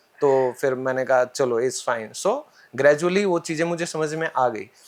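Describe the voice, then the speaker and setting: Heard on a very clean recording with a silent background, a man speaks at a moderate pace. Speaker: English trainer. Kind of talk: podcast interview. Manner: animated.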